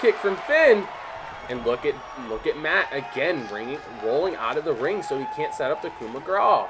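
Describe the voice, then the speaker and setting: Noticeable background noise behind a man at a moderate pace, his loudness swinging widely. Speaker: video game commentator. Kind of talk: live commentary. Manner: animated.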